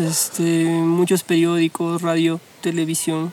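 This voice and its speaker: Noticeable background noise sits behind this recording. A man with a high pitch talks at a very slow pace. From Peru, Huancayo. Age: 20s. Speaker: architecture student. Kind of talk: casual chat.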